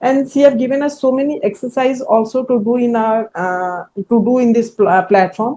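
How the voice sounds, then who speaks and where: A woman's high voice in an Indian accent, dark and mellow in tone, with ordinary pitch variation at a moderate pace. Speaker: entrepreneur, coaching client. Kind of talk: testimonial interview. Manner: halting.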